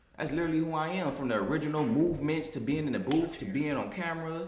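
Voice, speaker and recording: Over noticeable background noise and audible room echo, a man talks at a very fast pace in an animated tone with fairly high pitch. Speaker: rapper. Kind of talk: interview.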